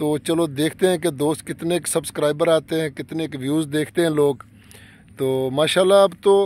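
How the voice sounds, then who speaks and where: In a normal speaking voice, a man with a fairly high pitch talks at a fairly slow pace with fairly even intonation, the sound dry with no echo. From Haroonabad, Bahawalnagar, Pakistani Punjab; Punjab, Pakistan. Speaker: real estate vlogger. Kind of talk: vlog sales pitch for farmland. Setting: outdoors in a field. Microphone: phone near.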